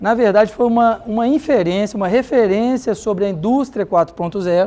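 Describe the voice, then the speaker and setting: A man with a Minas Gerais accent speaks at a high pitch in a dark, mellow tone. His intonation is lively. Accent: mineiro accent, noticeable. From Minas Gerais, Brazil. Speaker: conference speaker on health technology. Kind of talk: conference presentation.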